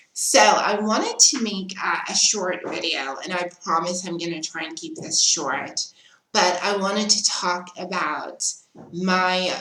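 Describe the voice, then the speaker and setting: Fairly slow speech from a woman with ordinary pitch variation, amid noticeable background noise. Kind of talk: casual talk to camera.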